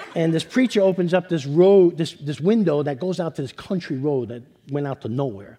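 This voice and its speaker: Fairly high for a man, this voice has an American accent, a dark, mellow tone and lively intonation at a fairly quick pace. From New York. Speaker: storyteller. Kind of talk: personal storytelling. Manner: repetitive, stammering restarts.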